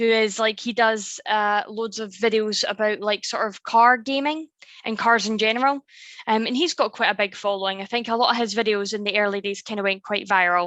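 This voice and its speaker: A woman's fairly high, bright, sharp voice with a Scottish accent, fairly even intonation, a fairly quick pace, and a dry, close sound with no echo. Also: quiet background. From Scotland. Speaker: YouTuber, content creator. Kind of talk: casual chat.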